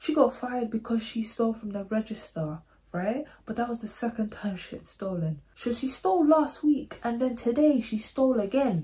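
At a moderate pace, the speaker uses lively intonation with a London accent. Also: woman, fairly high pitch for a woman. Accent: Multicultural London English. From London, England. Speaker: YouTuber. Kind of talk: storytime monologue. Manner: animated. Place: home room. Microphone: phone near.

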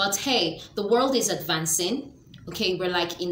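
With light background noise and audible room echo, a woman speaks at a moderate pace with ordinary pitch variation. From Nigeria. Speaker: lifestyle vlogger. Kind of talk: educational talk to camera. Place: home room. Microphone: webcam.

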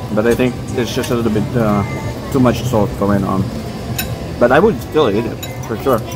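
Clear music plays in the background as the voice moves at a fairly quick pace. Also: man. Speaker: food vlogger. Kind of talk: casual food review vlog. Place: cafe.

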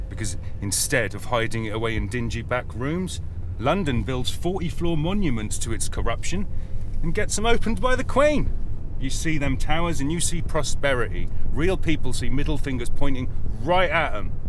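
A man at a moderate pace, dry sound with no echo, and noticeable background noise. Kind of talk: dramatic monologue. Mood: angry, contemptuous rant. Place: car.

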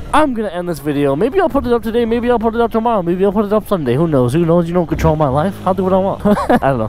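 Over noticeable background noise, a man mumbles at a very fast pace in a high, put-on character voice. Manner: fast, mumbling.

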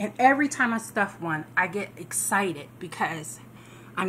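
The speaker has lively intonation at a moderate pace. Light background noise can be heard. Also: woman. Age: 40s. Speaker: home business promoter. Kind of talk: sales pitch. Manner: casual, conversational with fillers. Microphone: phone near.

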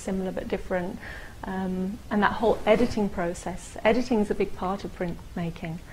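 Over light background noise, a woman with a London accent talks at a fairly quick pace. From England (London). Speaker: printmaker and art gallery manager. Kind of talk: interview answer. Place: studio.

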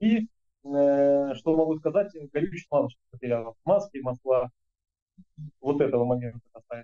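Dark and mellow in tone, a man's fairly high-pitched voice moves at a moderate pace with lively intonation and long, frequent pauses over a quiet background. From Kuban, southern Russia. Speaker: agricultural parts business owner; interviewee. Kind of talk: interview. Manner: halting, many fillers. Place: office. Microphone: video call.

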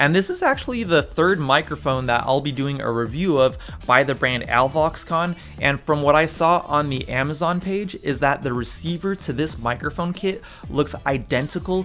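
A man at a moderate pace with ordinary pitch variation, faint music playing behind him. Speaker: microphone reviewer. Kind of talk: product review vlog. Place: studio.

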